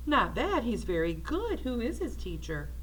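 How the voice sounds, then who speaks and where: A put-on character voice at a moderate pace over clear background noise. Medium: read story.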